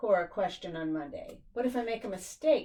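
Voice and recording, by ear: A natural voice reads a passage aloud.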